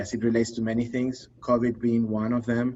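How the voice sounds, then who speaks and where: A man with a non-native accent, medium pitch, at a moderate pace. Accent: foreign accent, lasting. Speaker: behavior analyst, trainer. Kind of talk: casual interview chat. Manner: halting, many fillers and repeats.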